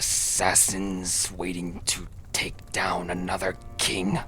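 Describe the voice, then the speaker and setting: A man whispers in a put-on character voice at a very slow pace. Background noise is clearly heard. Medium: actual play. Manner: menacing, savoring, drawn-out "mm".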